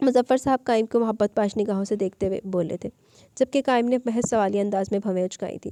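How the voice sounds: Pitch moves in an ordinary way here. The delivery is a natural reading voice.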